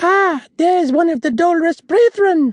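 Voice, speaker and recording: This is a put-on character voice, squeaky and extremely high in pitch. It moves along at a moderate pace. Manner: piping, mocking.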